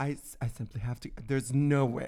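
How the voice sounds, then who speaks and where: With an animated tone, a man talks at a medium pitch. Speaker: podcast host. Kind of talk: casual chat.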